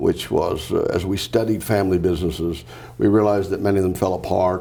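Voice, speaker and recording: A man talks at a very fast pace with fairly even intonation and a fairly low pitch. His tone is dark and mellow, and the room echo is audible. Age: 70s. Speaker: business founder and executive. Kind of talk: interview. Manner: hesitant, many fillers.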